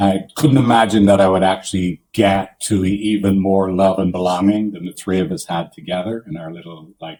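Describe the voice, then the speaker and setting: With an Irish accent, the voice has a dark, mellow tone and big swings in loudness. It moves at a moderate pace with ordinary pitch variation and hardly any pauses. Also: man. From Ireland. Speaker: couples therapist. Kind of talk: podcast interview.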